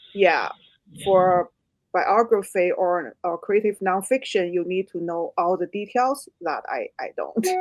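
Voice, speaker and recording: Over music in the background, a woman with a Chinese accent speaks at a fairly slow pace and medium pitch with ordinary pitch variation, the sound dry and close with no echo. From China. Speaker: author. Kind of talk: interview.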